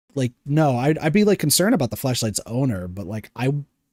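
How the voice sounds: A natural reading voice with lively intonation, over a quiet background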